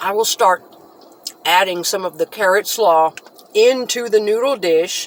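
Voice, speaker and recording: Long, frequent pauses break up the speech, heard over noticeable background noise. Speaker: channel host, mukbang vlogger. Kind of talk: casual food tasting vlog. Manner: fast.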